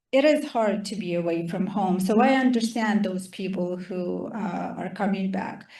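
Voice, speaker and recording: A woman with a Ukrainian accent, at a fairly slow pace. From Ukraine. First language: Russian or Ukrainian. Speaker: Ukrainian refugee guest speaker. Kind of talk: casual Q&A talk.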